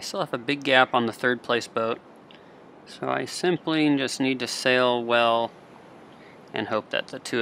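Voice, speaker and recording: There is noticeable background noise as a man with medium pitch talks at a moderate pace. He leaves long, frequent pauses. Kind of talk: live sailing race commentary. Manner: calm, analytical, steady; explanatory, thinking aloud mid-race.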